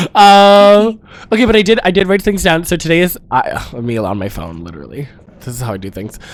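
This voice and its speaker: Animated mumbling at a fairly quick pace. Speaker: drag performer and podcast co-host. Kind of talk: casual chat.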